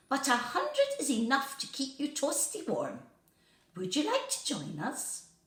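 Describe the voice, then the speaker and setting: Using a high put-on character voice, a woman speaks at a moderate pace with a slight echo. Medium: read story.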